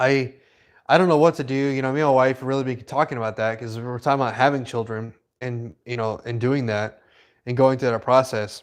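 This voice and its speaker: Against a quiet background, a man at medium pitch speaks with fairly even intonation. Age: 20s. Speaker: livestream host. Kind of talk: casual livestream chat. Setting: livestream. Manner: halting. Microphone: new microphone.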